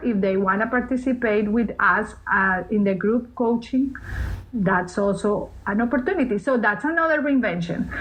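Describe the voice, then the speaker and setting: A woman with a Spanish accent at a fairly slow pace and fairly high pitch, ordinary pitch variation, over noticeable background noise. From Colombia. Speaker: TV host, speaker and coach. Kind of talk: interview answer.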